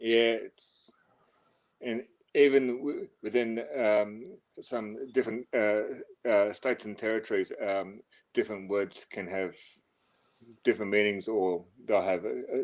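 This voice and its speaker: A man with an Australian accent, fairly slow pace and long, frequent pauses. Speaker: livestream guest. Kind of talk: casual chat. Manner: halting, many fillers and repetitions.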